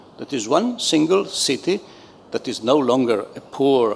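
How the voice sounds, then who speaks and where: A fairly high-pitched man's voice at a moderate pace, with very wide pitch swings. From Italy. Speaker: panel moderator. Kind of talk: panel discussion moderation. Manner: halting, many fillers.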